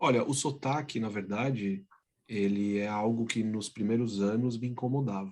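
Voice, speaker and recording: A man speaks with a plain, everyday voice. His pitch is medium and his pace moderate. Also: fairly even intonation. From Brazil. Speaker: business executive. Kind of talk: interview.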